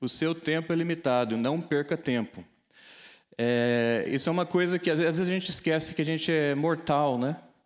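A man's ordinary speaking voice, fairly high in pitch, with very even loudness, moderate pace, ordinary pitch variation and a quiet background. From Brazil, interior of São Paulo state (Taubaté); São Paulo, Brazil. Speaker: data scientist and tech entrepreneur; keynote speaker. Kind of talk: keynote talk. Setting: stage with audience. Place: hall. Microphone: lapel.

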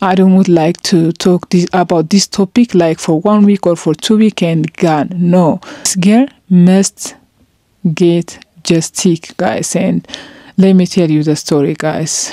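A woman with a non-native accent speaks at a fairly slow pace in a dark, mellow tone, her pitch fairly low and her intonation fairly even. The sound is dry with no echo, over a quiet background. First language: not English. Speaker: vlogger. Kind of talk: emotional vlog monologue. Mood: serious, sad. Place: home room. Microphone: handheld.

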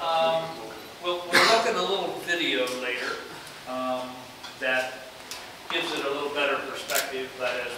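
A man talks at a moderate pace in a room with strong echo and noticeable background noise. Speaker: guest. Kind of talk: lecture storytelling. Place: classroom. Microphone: camera far.

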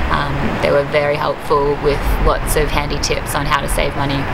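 Background noise is loud here. A woman speaks at a moderate pace. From Australia. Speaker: tour customer giving testimonial. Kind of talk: customer testimonial interview answer. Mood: calm, positive.

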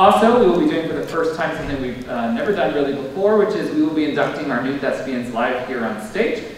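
A man at a fairly quick pace, with strong room echo and light background noise. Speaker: theatre director hosting event. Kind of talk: welcome speech. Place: stage.

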